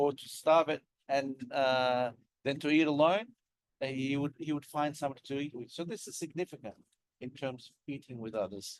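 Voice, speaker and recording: This man has an Australian accent and a fairly high pitch. His pitch variation is ordinary. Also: moderate pace, big swings in loudness. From Sydney, Australia. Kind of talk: interfaith dialogue talk.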